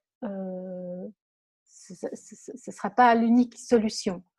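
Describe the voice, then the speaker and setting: The speaker is a woman. Her tone is dark and mellow, and somewhat breathy. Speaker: blogger and author. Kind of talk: interview. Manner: calm, soft-spoken; halting, repeats words.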